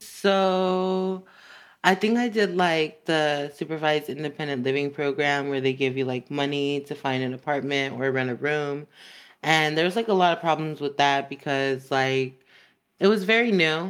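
This woman has a very deep, low pitch and an American accent, recorded very cleanly against a silent background. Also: ordinary pitch variation, moderate pace. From Los Angeles, San Fernando Valley. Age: 20s. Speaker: former foster youth, social work student. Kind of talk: casual interview conversation.

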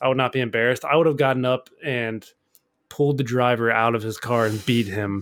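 This man has a normal speaking voice at a medium pitch, moving at a fairly quick pace with fairly even intonation. The recording is very clean, with a silent background. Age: 30s. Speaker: host's boyfriend, co-host for listener-question episodes. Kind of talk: casual chat.

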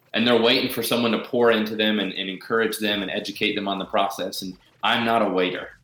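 A man's fairly low, flat monotone at a very fast pace, with noticeable background noise. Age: 30s. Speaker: self-help author and entrepreneur. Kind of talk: interview.

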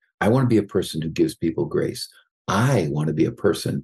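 A man with vocal fry and a dark, mellow tone talks at a fairly quick pace, his pitch swinging very widely. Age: 60s. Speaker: psychologist and executive coach, author. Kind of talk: interview.

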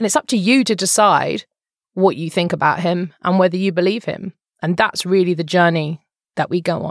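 In a British accent, a woman with a fairly low voice speaks at a moderate pace with ordinary pitch variation, in a dry, close sound with no echo. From England. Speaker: podcast host and former journalist. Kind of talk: casual interview chat.

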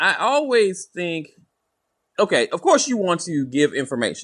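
An upbeat, energetic man with a slight Southern US accent. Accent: Southern US, light twang. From US South. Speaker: podcast co-host, former salesman. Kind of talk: casual interview chat. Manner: upbeat, energetic, shoots from the hip.

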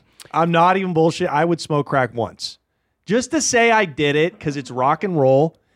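On a very clean recording with a silent background, a man with a normal speaking voice talks at a moderate pace, his fairly high pitch carrying lively intonation. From Portland, Oregon. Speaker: stand-up comedian. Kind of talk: casual chat. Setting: studio.

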